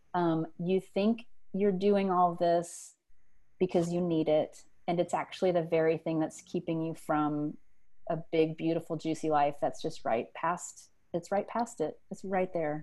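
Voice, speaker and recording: In a Louisiana accent, a woman speaks with a dark, mellow tone and fairly even intonation. Her recording is very clean, with a silent background. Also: fairly low pitch for a woman. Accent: Southern US (Louisiana). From US South, South Louisiana. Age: 40s. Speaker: writer and teacher. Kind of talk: interview, personal story. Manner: hesitant, many fillers.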